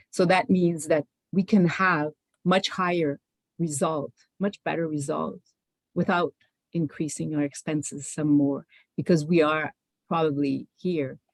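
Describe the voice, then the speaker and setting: The speaker has a Quebec accent and talks at a fairly slow pace. Long pauses come often. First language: French. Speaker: panelist, public health policy official. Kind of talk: panel presentation. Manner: halting, many fillers and restarts.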